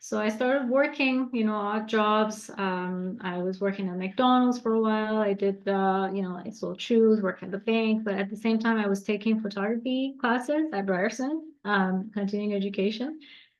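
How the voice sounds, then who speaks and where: Speaking with a Persian accent, a woman with a fairly high pitch keeps a moderate pace with hardly any pauses and ordinary pitch variation. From Iran. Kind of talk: interview.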